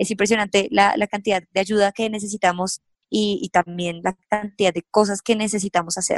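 A woman speaks at a fairly quick pace in an ordinary speaking voice, medium in pitch with fairly even intonation, with a dry, close sound and no echo. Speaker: personal finance youtuber. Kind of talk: interview.

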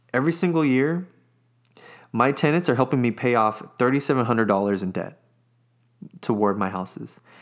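On a very clean recording with a silent background, a man at medium pitch talks with an enthusiastic tone and lively intonation at a fairly quick pace, broken by long, frequent pauses. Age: 20s. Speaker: podcast host and real estate investor. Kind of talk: solo educational monologue. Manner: casual, enthusiastic.

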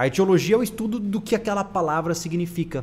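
A man speaks with ordinary pitch variation. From Brazil. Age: 20s. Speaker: podcast host. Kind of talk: casual chat. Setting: live stream.

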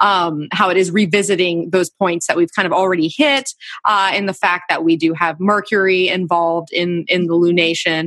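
This woman has a normal speaking voice and a fairly low pitch. She keeps a moderate pace with hardly any pauses, very even loudness and fairly even intonation. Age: 30s. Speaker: podcast host and astrologer. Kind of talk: scripted narration; casual chat.

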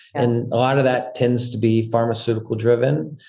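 The man's voice is somewhat breathy. Its tone is dark and mellow. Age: 50s. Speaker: company founder and CEO. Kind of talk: interview.

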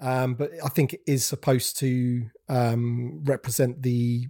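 With a dark, mellow tone and a somewhat breathy quality, a man speaks at medium pitch with fairly even intonation in a dry, close sound with no echo. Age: 40s. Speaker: toy collector YouTuber. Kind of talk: casual chat. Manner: halting.

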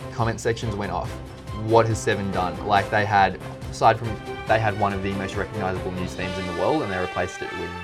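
Music plays in the background as a man speaks with an Australian accent. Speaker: podcast host. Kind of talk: casual conversational.

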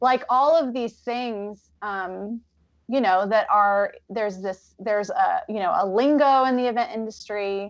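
Using a plain, everyday voice, a woman speaks at a fairly slow pace with a fairly high pitch and lively intonation. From Pacific Northwest US (Vancouver, Washington). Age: 30s. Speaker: wedding coach and small business owner. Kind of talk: casual chat.

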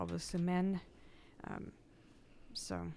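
A woman is speaking. She has a Russian accent. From Russia (Irkutsk, Tatarstan). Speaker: graduate student and nonprofit organizer. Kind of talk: radio panel discussion.

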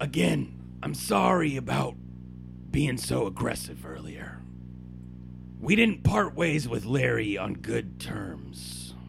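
A man's put-on character voice, fairly slow with long, frequent pauses, against loud background noise. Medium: actual play. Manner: gruff, blunt.

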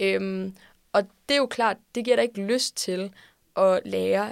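Medium-pitched female speech on a very clean recording against a silent background. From Denmark, Odense. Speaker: student organisation leader. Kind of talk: interview. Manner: hesitant with fillers.

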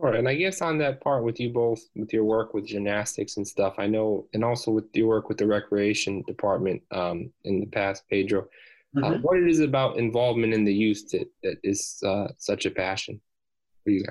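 Moderately paced, this man has a medium pitch, ordinary pitch variation and a plain, everyday voice. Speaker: podcast host. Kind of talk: interview, casual chat.

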